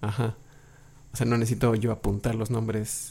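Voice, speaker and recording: A somewhat breathy man with a dark, mellow tone and medium pitch talks at a fairly quick pace. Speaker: podcast host. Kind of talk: casual chat.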